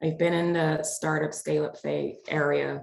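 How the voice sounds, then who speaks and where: A woman speaks at a moderate pace. She has an American accent. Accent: sounds American. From Netherlands. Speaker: business agility lead. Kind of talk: panel discussion.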